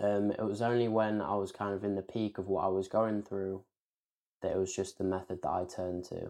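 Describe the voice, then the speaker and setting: In an English accent, a man talks fairly quickly in a dark, mellow tone at a fairly low pitch. His intonation stays flat and monotone against a quiet background. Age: 20s. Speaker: author. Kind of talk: interview.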